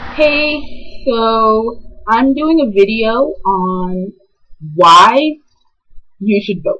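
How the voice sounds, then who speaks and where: The speech comes at a very slow pace with long, frequent pauses, while music plays in the background. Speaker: video blogger. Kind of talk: casual vlog monologue. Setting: recording to camera. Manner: loud; hesitant, many filler ums.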